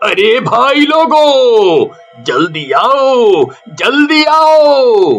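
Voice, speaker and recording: Over faint music in the background, a man performs a put-on character voice. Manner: shouting in panic, frightened.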